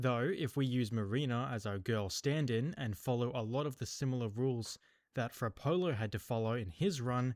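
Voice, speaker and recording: With an Australian accent, a man speaks at a moderate pace and a medium pitch. His pitch varies in an ordinary way, on a very clean recording with a silent background. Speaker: gaming youtuber. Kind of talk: gameplay commentary. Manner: casual.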